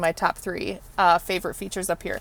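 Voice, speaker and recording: A woman's animated voice, dry and close with no echo, on a very clean recording with a silent background. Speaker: car dealership presenter. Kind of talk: product tour. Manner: loud.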